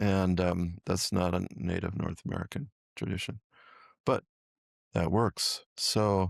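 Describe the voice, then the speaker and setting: In a very clean recording with a silent background and a dry, close sound with no echo, a man with a very deep, low pitch speaks fairly slowly with fairly even intonation and long, frequent pauses. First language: Miccosukee. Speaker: herbalist and teacher. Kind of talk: podcast interview conversation.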